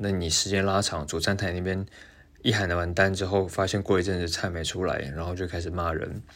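A man speaks at a moderate pace in a very deep, low voice. His intonation is monotone and flat. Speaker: pastry chef and podcast host. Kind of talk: casual monologue.

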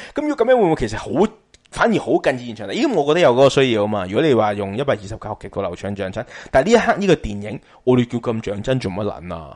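A man speaks at a very fast pace with medium pitch and lively intonation. His loudness swings widely. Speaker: podcast host, film talk. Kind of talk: casual chat. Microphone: slightly distorted, crackly mic.

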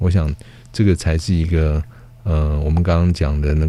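A man with a very deep, low pitch speaks at a moderate pace in fairly even intonation. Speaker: government forestry official. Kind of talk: interview.

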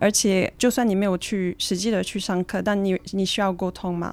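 The recording is very clean, with a silent background. A woman of medium pitch speaks in a monotone, flat intonation. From Switzerland. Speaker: student and traveler sharing her story. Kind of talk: interview.

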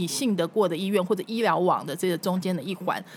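The clip features a normal speaking voice with ordinary pitch variation. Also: woman. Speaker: former TV news anchor and food show host. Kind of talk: casual interview chat.

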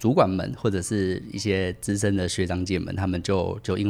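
This man has a very deep, low pitch. He talks at a fairly quick pace with fairly even intonation. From Taiwan, Tainan. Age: 30s. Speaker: podcast guest, former international sales worker. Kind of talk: casual interview.

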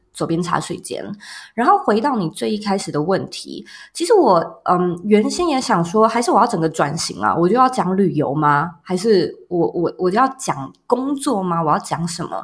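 A woman's somewhat breathy voice, medium in pitch, with lively intonation at a moderate pace, on a very clean recording with a silent background. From Taiwan, Taipei. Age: 30s. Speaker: entrepreneur and podcaster. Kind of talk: interview.

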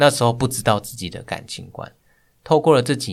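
This man's intonation is lively. The background is silent, and the recording is very clean. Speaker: guest, hiking enthusiast and office worker. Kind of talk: personal testimony in interview.

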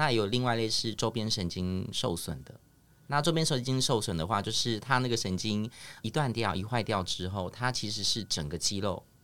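The pace is moderate. Intonation is lively. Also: man, medium pitch for a man. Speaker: speech therapist. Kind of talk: casual chat. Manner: animated.

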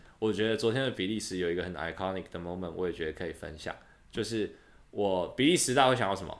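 Very fast speech comes from a man with a Taiwanese accent. His intonation is lively. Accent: Taiwanese Mandarin. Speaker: podcast host, exchange student. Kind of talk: casual chat. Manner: animated.

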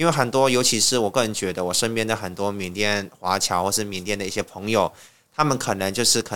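A bright, sharp tone with ordinary pitch variation at a fairly quick pace, in a very clean recording with a silent background. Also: man. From Myanmar, Yangon. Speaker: language teacher. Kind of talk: interview.

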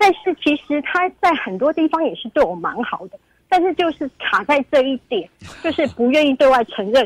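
A woman speaks at a moderate pace with a high pitch and very wide pitch swings, her voice shaky. The sound is dry and close, with no echo. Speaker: caller. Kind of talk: call-in confession. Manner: trembling voice.

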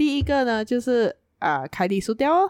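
On a very clean recording with a silent background, a woman speaks with very wide pitch swings in a dry, close sound with no echo. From Malaysia, Penang. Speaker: podcast co-host. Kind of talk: casual chat. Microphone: new microphone.

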